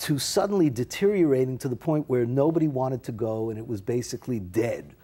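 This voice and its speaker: A man with a New York accent talks at a very fast pace in a medium pitch, with a dark, mellow tone and lively intonation. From New York (Bronx). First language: Yiddish. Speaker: actor. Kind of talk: interview.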